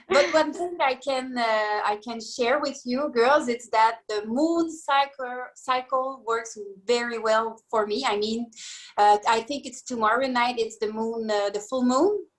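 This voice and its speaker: Speaking at a fairly slow pace in a French accent, a woman uses a high pitch with ordinary pitch variation. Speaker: group participant. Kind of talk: group video call discussion. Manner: hesitant, halting.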